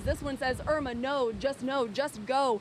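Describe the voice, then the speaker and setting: A high-pitched woman's voice over noticeable background noise. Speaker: TV news reporter and anchor. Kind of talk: live TV field report. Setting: outdoors.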